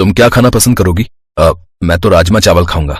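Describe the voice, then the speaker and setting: A man performs a cartoonish character voice at a fairly low pitch. He keeps a moderate pace and very even loudness. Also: ordinary pitch variation. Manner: easygoing.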